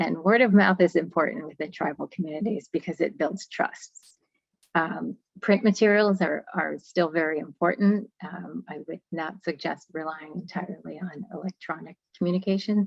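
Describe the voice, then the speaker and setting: A woman with vocal fry speaks at a moderate pace and fairly low pitch with ordinary pitch variation and big swings in loudness, in a dry, close sound with no echo. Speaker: webinar presenter. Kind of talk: webinar presentation. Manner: hesitant, many fillers.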